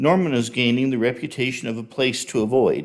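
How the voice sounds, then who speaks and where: At a moderate pace, a man speaks in an unremarkable speaking voice on a very clean recording with a silent background. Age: 60s. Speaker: public commenter, retired chemical engineer. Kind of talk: prepared public comment at city council. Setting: city council meeting. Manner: formal.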